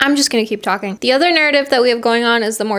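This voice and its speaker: Her pitch moves in an ordinary way. This woman's voice is fairly high. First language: not English. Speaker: book reviewer. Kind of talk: casual chat. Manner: animated.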